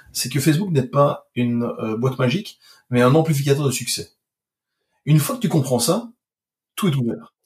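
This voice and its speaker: A man talks at a fairly high pitch, and his voice is somewhat breathy. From Belgium. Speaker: digital marketing expert. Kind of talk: casual chat.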